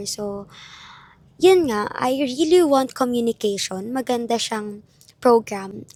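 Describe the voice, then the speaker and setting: A woman talks at a fairly high pitch. Her pace is very slow. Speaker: vlogger, university student. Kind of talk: casual vlog talk.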